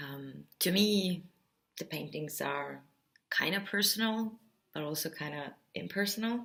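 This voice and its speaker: A woman with an Estonian accent speaks fairly slowly in a bright, sharp tone, with lively intonation, big swings in loudness, and long, frequent pauses. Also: fairly low pitch for a woman. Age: 30s. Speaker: artist. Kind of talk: explainer video talk. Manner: bubbly.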